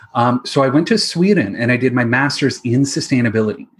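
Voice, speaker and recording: Somewhat breathy, a man at medium pitch speaks with a Canadian accent and ordinary pitch variation. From Ontario, Canada (London, Ontario). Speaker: financial advisor specializing in responsible investing. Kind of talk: casual interview chat.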